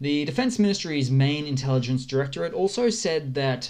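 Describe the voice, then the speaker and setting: A man speaks at a medium pitch with an Australian accent and ordinary pitch variation. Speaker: war news commentator. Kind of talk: casual news update with map. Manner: casual, hesitant with fillers.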